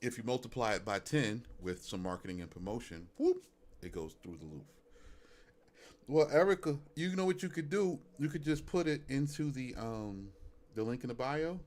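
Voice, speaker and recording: A man with a Brooklyn accent at a medium pitch and moderate pace, with very wide pitch swings and big swings in loudness. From Brooklyn, New York. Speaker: music reaction streamer. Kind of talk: live stream casual chat. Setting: live stream.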